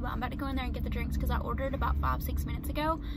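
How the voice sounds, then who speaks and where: Over loud background noise, a woman speaks in a dry recording with no echo. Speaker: vlogger. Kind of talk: casual vlog chat. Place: car. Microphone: phone near.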